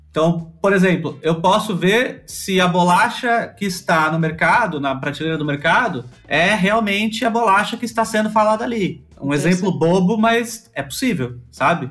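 This man talks at a moderate pace with hardly any pauses, his high-pitched voice rising and falling in a lively way. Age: 30s. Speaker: crypto community manager. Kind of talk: casual chat.

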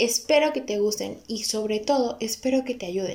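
In a Veracruz Mexican accent, a woman talks at a moderate pace with a fairly high pitch and ordinary pitch variation. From Mexico, Córdoba, Veracruz. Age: 20s. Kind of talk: personal testimony podcast intro.

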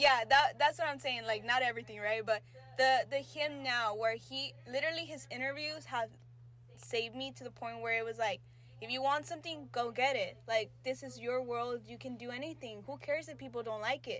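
The pace is fairly quick, with big swings in loudness. Noticeable background noise can be heard. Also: woman. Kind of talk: casual chat. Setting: home recording.

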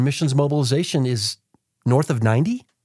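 A man with a fairly high pitch sounds somewhat breathy in a dry, close recording with no echo. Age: 40s. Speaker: podcast host and missions coach. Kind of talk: podcast interview. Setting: studio.

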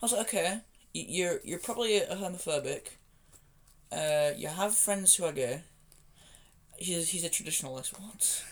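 Speaking in a Yorkshire accent, a man has a high pitch and ordinary pitch variation, keeping a moderate pace broken by long, frequent pauses. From Yorkshire, England. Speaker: podcast co-host. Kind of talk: casual chat.

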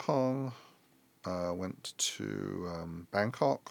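Lively intonation and a London accent come through on a very clean recording with a silent background. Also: man. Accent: British English (London). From England, London. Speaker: airline executive. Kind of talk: interview. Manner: halting, many repetitions and restarts.

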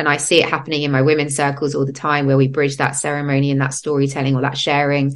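With an English accent, a woman speaks. Her pitch is very deep and low. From England. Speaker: podcast host and breathwork facilitator. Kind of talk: casual interview chat. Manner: animated.

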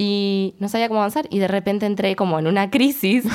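Recorded very cleanly with a silent background, a woman talks at a very fast pace with fairly even intonation. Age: 20s. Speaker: education student. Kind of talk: casual chat.

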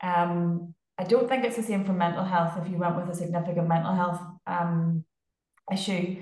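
A woman with a fairly low pitch speaks at a moderate pace in a somewhat breathy voice with fairly even intonation. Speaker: physiotherapist. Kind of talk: casual chat.

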